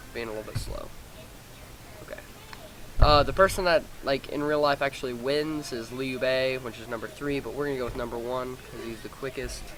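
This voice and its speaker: The speech comes at a fairly quick pace. Music sounds behind it. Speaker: gaming video creator. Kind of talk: gameplay tutorial. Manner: fast; casual, halting with fillers.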